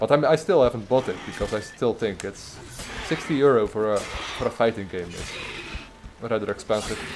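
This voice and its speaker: Delivered in a strong Dutch accent, the speech runs at a fairly quick pace with long, frequent pauses, ordinary pitch variation and noticeable background noise. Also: man, medium pitch for a man. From Netherlands. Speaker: gaming streamer. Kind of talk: gameplay livestream commentary. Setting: livestream. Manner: halting, many fillers and repeats.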